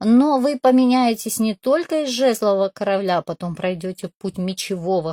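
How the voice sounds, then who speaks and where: A woman's fairly high, dark and mellow voice with lively intonation at a moderate pace, dry and close with no echo, in a very clean recording with a silent background. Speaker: tarot reader. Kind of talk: tarot reading video.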